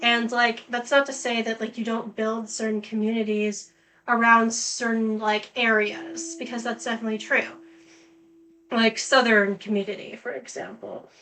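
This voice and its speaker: A woman with an American accent, a fairly high pitch and fairly even intonation, at a moderate pace. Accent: Canadian, often mistaken for American. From Canada, British Columbia. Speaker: gaming streamer. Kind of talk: gameplay commentary. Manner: casual, filler-heavy.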